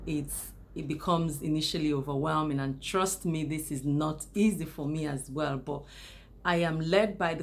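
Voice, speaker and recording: In a room with audible echo, a woman talks at a moderate pace. Her voice is very deep and low, with ordinary pitch variation. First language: not English. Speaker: YouTuber. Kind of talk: casual monologue to camera. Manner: unscripted, with hesitations.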